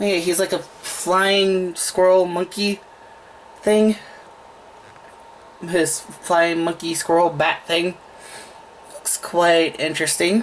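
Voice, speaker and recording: Long, frequent pauses run through the speech over noticeable background noise. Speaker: toy unboxing reviewer. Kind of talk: casual talk to camera.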